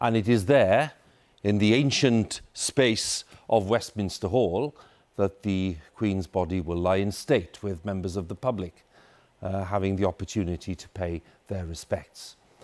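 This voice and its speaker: A normal speaking voice from a man, fairly low in pitch with ordinary pitch variation, on a very clean recording with a silent background. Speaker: news presenter. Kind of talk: broadcast news anchor. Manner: formal, solemn.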